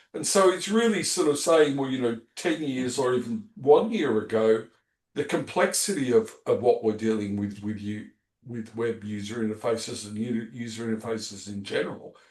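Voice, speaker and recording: Moderate pace and ordinary pitch variation from a man with an Australian accent and a medium pitch. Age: 60s. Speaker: podcast host. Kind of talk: casual chat.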